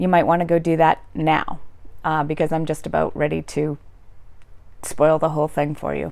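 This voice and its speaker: A woman with a Boston accent speaks at a moderate pace in a very deep, low pitch with vocal fry. Her intonation is flat and monotone, and she takes long, frequent pauses. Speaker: YouTuber, literature commentator. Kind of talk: casual commentary. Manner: hesitant, many fillers.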